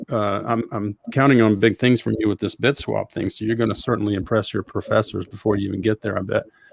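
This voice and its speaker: In a Southern US accent, a man talks at a fairly quick pace with a fairly low pitch and fairly even intonation, the sound dry and close with no echo. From US South, Georgia. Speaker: podcast host. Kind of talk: interview.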